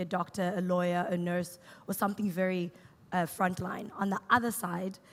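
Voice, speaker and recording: This speaker talks at a moderate pace with a South African accent. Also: woman. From South Africa, Cape Town. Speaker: startup co-founder and CTO. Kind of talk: on-stage interview. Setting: stage with audience.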